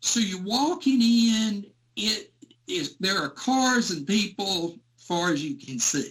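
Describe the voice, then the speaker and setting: Very slow speech in a Southern US accent swings very widely in pitch. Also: man, high pitch for a man. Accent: Southern US (Georgia). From US South, rural Georgia. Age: 60s. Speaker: Elvis fan recalling concerts. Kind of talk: interview storytelling.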